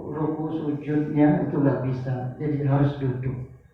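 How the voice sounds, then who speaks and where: A man speaks at a fairly slow pace in a fairly high pitch, with monotone, flat intonation. Audible room echo and noticeable background noise come through. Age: 60s. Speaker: patient. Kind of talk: testimony.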